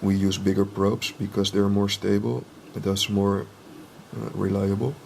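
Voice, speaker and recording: A man with a non-native accent speaks at a fairly low pitch with ordinary pitch variation. Light background noise can be heard. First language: not English. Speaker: drone hobbyist and ultrasonic testing technician; inspection technician demonstrating. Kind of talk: tutorial. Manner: halting, many fillers; slow and deliberate. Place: workshop.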